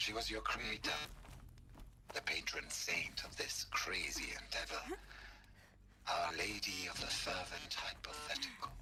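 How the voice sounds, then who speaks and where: A man performs a put-on character voice at a moderate pace, with long, frequent pauses. Light background noise can be heard. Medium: video game.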